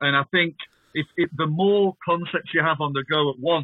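A man in a Lancashire accent, fairly even in intonation, at a moderate pace. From northern England, Blackpool. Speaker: rapper. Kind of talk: interview chat.

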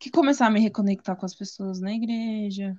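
Her dark, mellow tone somewhat breathy, a woman speaks at a fairly slow pace. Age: 20s. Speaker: visual artist sharing testimony. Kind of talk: testimony. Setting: video call.

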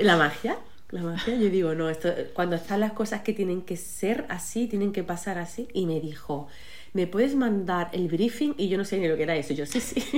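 A woman of medium pitch speaks at a moderate pace with ordinary pitch variation. Noticeable background noise and audible room echo fill the recording. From Málaga, Andalusia, Spain. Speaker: psychologist and coach, author. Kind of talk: casual interview chat.

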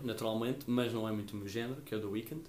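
A man with a slight Madeiran accent. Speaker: student podcast co-host. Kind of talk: casual chat.

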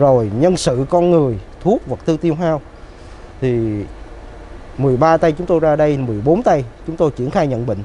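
Noticeable noise sits behind the voice. Words come out fairly slowly. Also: man. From Ho Chi Minh City, southern Vietnam. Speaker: doctor. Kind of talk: interview.

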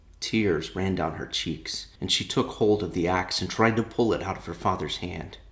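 Intonation remains fairly even. It is a natural reading voice.

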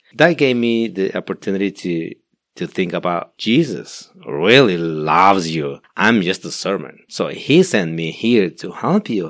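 In a Spanish accent, a man talks at a fairly slow pace with lively intonation. The recording is very clean, the background silent. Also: fairly low pitch for a man. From Guatemala. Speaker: pastor. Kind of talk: interview testimony. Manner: halting.

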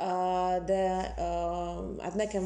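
With a Russian accent, a woman talks amid audible room echo. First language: Russian (speaking Hungarian). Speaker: literary historian and translator. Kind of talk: interview. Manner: halting, many fillers.

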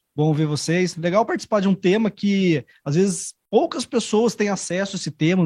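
A man with a high pitch talks at a moderate pace with ordinary pitch variation, in a dry, close sound with no echo against a quiet background. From São Paulo, Brazil. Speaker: guest who lived abroad. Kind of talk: casual chat. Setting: studio.

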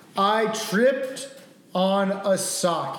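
The speaker's intonation is lively. Noticeable background noise runs underneath. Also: man. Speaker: host's brother.

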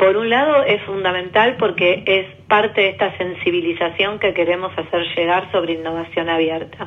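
A woman talks with hardly any pauses, her loudness very even and her pitch varying in an ordinary way. Background noise is noticeable. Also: medium pitch for a woman, moderate pace. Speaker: government official. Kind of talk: interview.

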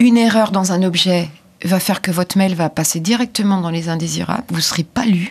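Somewhat breathy, a woman talks at a fairly quick pace in a medium-pitched voice with ordinary pitch variation. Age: 50s. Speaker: author of children's grammar books. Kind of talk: interview.

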